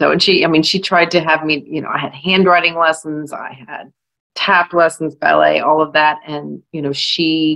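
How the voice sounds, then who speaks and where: Over a quiet background, a woman with an American accent speaks at a very deep, low pitch with vocal fry. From California, US. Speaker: author. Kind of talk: panel discussion. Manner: hesitant, many fillers.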